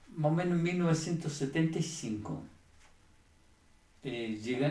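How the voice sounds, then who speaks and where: Through audible room echo, a man speaks at a moderate pace in a somewhat breathy voice with ordinary pitch variation. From Chile. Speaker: church member giving testimony. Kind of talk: testimony. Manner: halting, with many fillers.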